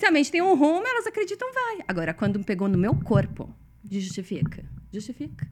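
A woman keeps a moderate pace as noticeable background noise fills the clip. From Brazil. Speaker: consciousness facilitator. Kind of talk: casual chat.

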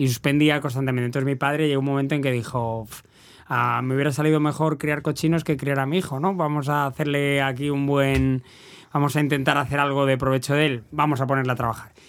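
Delivery is very fast with monotone, flat intonation. The loudness stays very even. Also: man, fairly high pitch for a man. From Valladolid, Spain. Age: 50s. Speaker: race announcer. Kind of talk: casual chat.

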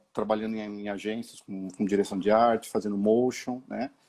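A man speaks at a fairly slow pace in a fairly low voice with a dark, mellow tone. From São Paulo East Zone, Brazil. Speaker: visual artist, graffiti. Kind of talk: casual interview. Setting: video call. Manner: halting.

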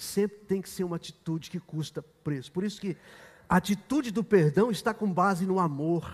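Speaking at a moderate pace, a man has a high-pitched voice. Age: 60s. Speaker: pastor. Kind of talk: sermon. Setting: church.

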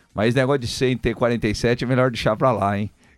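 A man with an unremarkable speaking voice talks at a medium pitch. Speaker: radio sports host. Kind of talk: live radio show. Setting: radio studio.

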